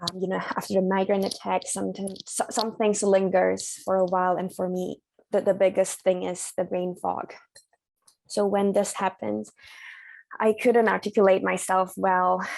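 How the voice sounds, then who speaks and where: A woman's medium-pitched voice with a non-native accent, moderate pace and monotone, flat intonation. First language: not English. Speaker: migraine patient sharing experience. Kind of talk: support group sharing. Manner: hesitant.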